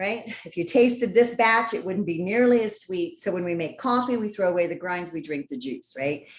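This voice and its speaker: An unremarkable speaking voice from a woman with an American accent, medium pitch, lively intonation and a moderate pace. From California (San Diego). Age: 50s. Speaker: healthy cooking educator. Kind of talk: networking presentation with cooking demo.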